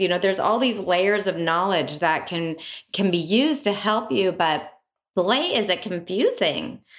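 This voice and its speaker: Delivered in a plain, everyday voice, the speech keeps a moderate pace, very even loudness and ordinary pitch variation. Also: woman. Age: 50s. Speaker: podcast co-host. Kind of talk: casual chat. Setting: studio.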